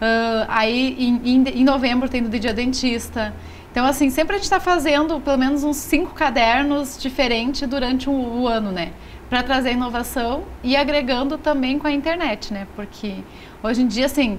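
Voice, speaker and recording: Audible room echo surrounds a woman speaking at a moderate pace. Her pitch is high, with ordinary pitch variation. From Rio Grande do Sul, Brazil. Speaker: magazine publisher. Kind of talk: TV interview. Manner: casual, frequent fillers.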